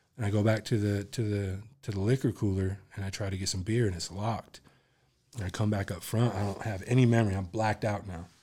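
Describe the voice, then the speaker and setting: A man talks at a very fast pace in a fairly low pitch, somewhat breathy with a dark, mellow tone and fairly even intonation. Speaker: musician. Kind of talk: casual chat. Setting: podcast studio.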